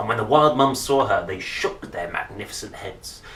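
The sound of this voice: Audible room echo around a man with a fairly low pitch and a fairly bright tone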